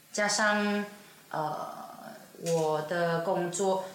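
Over noticeable background noise and audible room echo, a woman talks in a fairly low pitch with ordinary pitch variation. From Sabah, East Malaysia. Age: 20s. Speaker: performing artist. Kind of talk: casual chat.

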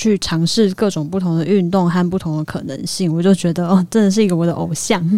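A woman's fairly low, dark, mellow voice at a fairly quick pace, fairly even in intonation and with hardly any pauses. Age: 30s. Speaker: arts worker. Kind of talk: casual chat.

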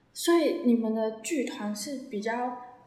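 Recorded with audible room echo, a woman speaks in a fairly high voice. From Taiwan, Taichung. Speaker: podcast host. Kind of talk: casual chat.

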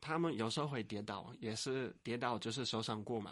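A man at medium pitch, with ordinary pitch variation. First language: Dutch (speaking Chinese). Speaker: university lecturer and author. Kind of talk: interview. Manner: halting.

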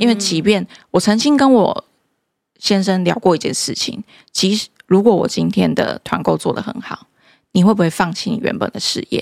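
A woman with vocal fry speaks at a medium pitch and a moderate pace, with ordinary pitch variation, in a dry, close recording with no echo that is very clean against a silent background. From Taiwan, Kaohsiung. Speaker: high-heel brand founder. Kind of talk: casual interview.

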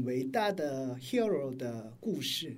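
Very wide pitch swings mark this man's speech. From South Korea. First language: Korean (speaking Chinese). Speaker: pastor and missionary. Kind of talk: interview. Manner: halting.

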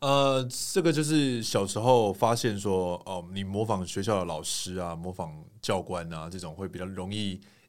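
The intonation is lively and the pace moderate. Loudness swings a lot. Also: man, fairly low pitch for a man. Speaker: singer and TV host. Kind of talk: casual interview chat.

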